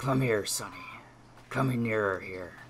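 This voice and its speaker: A man's put-on character voice, raspy and medium-pitched, at a moderate pace over clear background noise. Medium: read story. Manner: fawning yet sneering, wheedling.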